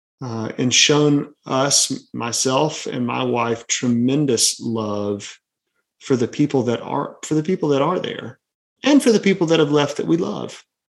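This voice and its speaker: A man with a Southern US accent, medium pitch, ordinary pitch variation and a fairly slow pace, against a quiet background. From Birmingham, Alabama. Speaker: pastor. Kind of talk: casual chat.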